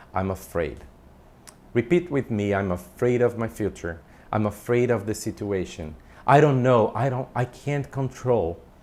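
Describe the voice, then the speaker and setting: Lively intonation marks this man's medium-pitched voice. He keeps a moderate pace. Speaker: self-help coach. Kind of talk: motivational talk. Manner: loud; animated.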